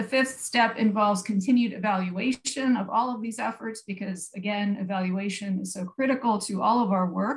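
A woman's somewhat breathy voice at a moderate pace, with fairly even intonation and hardly any pauses, against a quiet background. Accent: American. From USA. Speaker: public health researcher; public presenter. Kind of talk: conference presentation. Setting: online video conference. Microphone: video call.

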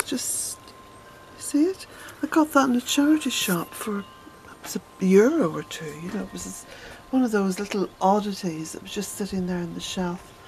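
The speaker's pitch swings very widely and the loudness rises and falls sharply. The pace is moderate, with faint music in the background. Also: woman. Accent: Irish. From Ireland. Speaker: smallholder vlogger. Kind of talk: casual walk-and-talk vlog. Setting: outdoors. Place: garden. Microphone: phone near.

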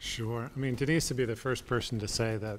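Over light background noise, a man delivers his lines fairly quickly, his intonation fairly even. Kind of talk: interview answer. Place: meeting room.

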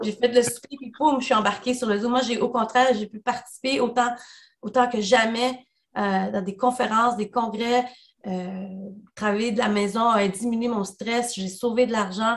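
Against a quiet background, a woman talks in a normal speaking voice at a moderate pace with fairly even intonation. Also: fairly high pitch for a woman. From El Salvador. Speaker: union leader; panelist. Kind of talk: webinar talk. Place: home room. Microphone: video call.

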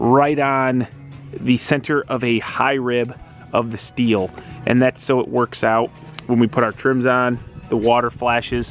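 A man's flat, monotone delivery at a fairly slow pace and very even loudness, with faint music in the background. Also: dry sound with no echo. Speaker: builder contractor. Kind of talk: tutorial. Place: open country. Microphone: helmet.

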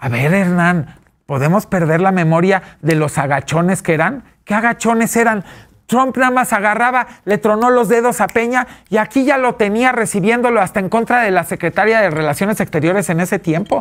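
A man speaks with a high pitch and lively intonation. His loudness stays very even against a quiet background. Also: moderate pace. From Mexico City. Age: 40s. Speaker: businessman and fashion expert; talk show guest. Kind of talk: interview. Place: studio.

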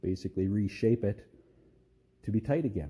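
The voice is somewhat breathy, with a dark, mellow tone and fairly even intonation. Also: man. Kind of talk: casual tutorial commentary. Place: garage. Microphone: phone near.

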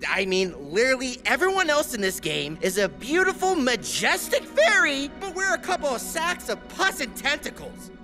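Over clear music in the background, a man with an extremely high pitch speaks in a raised, projected voice at a moderate pace. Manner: whiny, defensive.

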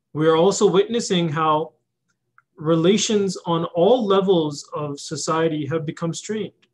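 Over a quiet background, a man with a Canadian accent talks at a fairly slow pace, his high pitch showing ordinary variation. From Calgary, Canada; Canada. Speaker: imam. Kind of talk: prepared speech. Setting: online video conference. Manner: formal. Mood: earnest, measured. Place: office. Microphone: video call.

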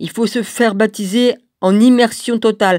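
A woman's voice comes through dry and close with no echo, in a very clean recording over a silent background. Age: 60s. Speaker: religious video blogger. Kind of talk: video monologue. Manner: halting.

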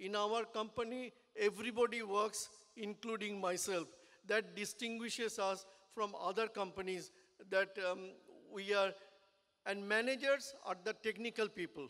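A man with a high voice speaks at a moderate pace and fairly even intonation, leaving long, frequent pauses against a quiet background. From India. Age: 70s. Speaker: business owner and engineer. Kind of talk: speech at a business networking event. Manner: halting. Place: hall. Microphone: podium.

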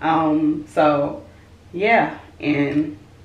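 Audible room echo surrounds a woman whose voice sits very deep and low. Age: 20s. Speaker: vlogger. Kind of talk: casual vlog. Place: bathroom. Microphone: phone near.

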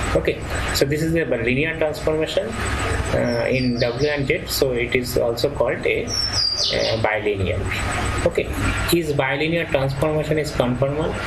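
Over loud background noise, a man speaks with long, frequent pauses. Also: moderate pace. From India. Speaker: professor. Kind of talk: lecture. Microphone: webcam.

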